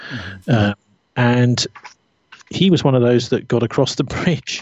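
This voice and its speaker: This man's voice carries a somewhat breathy quality. It sits at a medium pitch. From England. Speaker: radio journalist and activist. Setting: remote recording, poor sound.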